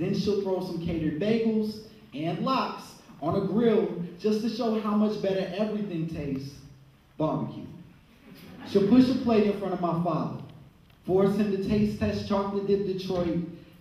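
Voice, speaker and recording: A man with an American accent, high pitch, ordinary pitch variation, moderate pace and long, frequent pauses. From Chicago. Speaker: poet. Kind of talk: spoken word poetry performance.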